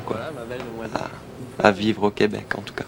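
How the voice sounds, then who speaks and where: A man's fairly low-pitched voice over noticeable background noise. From France, Alsace. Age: 20s. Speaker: DJ and record seller. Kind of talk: documentary interview. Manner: hesitant, many fillers.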